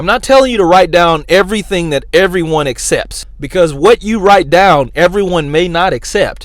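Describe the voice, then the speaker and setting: Loud and high-pitched, a man speaks at a moderate pace. Noticeable background noise sits behind him. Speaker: YouTuber giving career advice. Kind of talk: motivational talk to camera.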